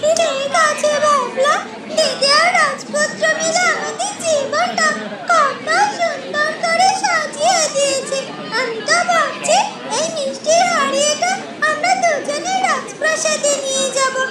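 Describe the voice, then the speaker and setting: In a cartoonish character voice, the speaker goes at a fairly slow pace. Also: woman, extremely high pitch for a woman. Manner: warm, chiding.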